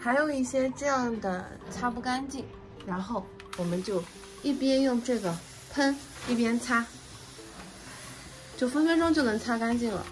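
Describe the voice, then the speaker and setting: With noticeable background noise around her, a woman talks at a high pitch and a fairly slow pace, leaving long, frequent pauses. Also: ordinary pitch variation. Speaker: home gardener. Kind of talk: casual home vlog talk to camera.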